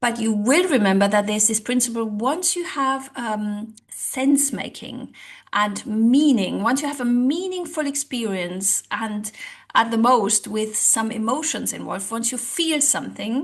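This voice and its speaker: A woman with a non-native accent speaks at a fairly slow pace, her fairly high pitch showing ordinary variation. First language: not English. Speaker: language coach and social psychologist. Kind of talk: online tutorial. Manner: conversational with hesitations.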